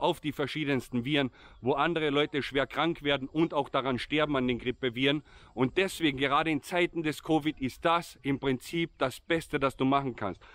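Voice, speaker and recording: A man's voice at a moderate pace, with fairly even intonation, very even loudness and a dry sound with no echo. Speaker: vlogger. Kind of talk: casual vlog chat. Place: open country. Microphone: phone near.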